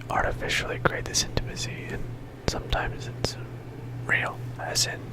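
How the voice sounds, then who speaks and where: Whispering comes through over noticeable background noise. Long, frequent pauses break up the speech. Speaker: ASMR video creator. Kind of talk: casual rambling talk to camera, ASMR. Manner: hesitant, filler-heavy, rambling.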